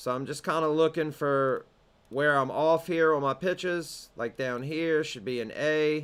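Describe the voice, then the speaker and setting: On a very clean recording with a silent background, a man with a Southern US accent, fairly high pitch, fairly slow pace and fairly even intonation. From US South. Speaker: music production teacher. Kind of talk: tutorial. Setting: home studio. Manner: casual.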